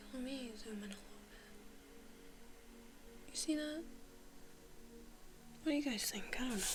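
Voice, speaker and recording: A soft-spoken woman with a high voice talks at a fairly quick pace with long, frequent pauses amid noticeable background noise. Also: ordinary pitch variation, big swings in loudness. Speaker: ASMR content creator. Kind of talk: casual talk to camera while sketching, ASMR.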